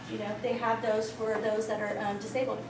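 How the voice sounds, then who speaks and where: A woman is speaking. Noticeable background noise and audible room echo are present. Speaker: volunteer trainer. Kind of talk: training presentation. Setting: room with audience. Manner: fast.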